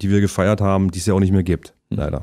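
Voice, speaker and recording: A man speaks with a very deep, low pitch and a dark, mellow tone. The background is quiet. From Halle (Saale), Saxony-Anhalt, Germany. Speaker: actor and musician. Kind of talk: casual interview chat. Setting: studio. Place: studio.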